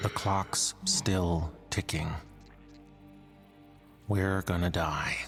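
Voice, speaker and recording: Clear music plays behind a man's put-on character voice, very deep and low in pitch at a very slow pace. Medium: machinima.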